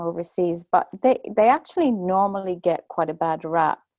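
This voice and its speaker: A woman with a Dublin accent, dark and mellow in tone, at a fairly slow pace with ordinary pitch variation, in a dry, close sound with no echo. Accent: Irish (Dublin). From Ireland, Dublin. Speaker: storytelling teacher and author. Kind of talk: interview conversation.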